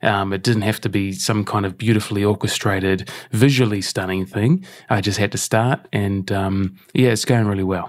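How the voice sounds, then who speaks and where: Recorded very cleanly against a silent background, a man with a normal speaking voice talks at a moderate pace and fairly low pitch, his intonation fairly even. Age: 40s. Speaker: breathwork and health performance consultant. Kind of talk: casual interview chat. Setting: in person recording.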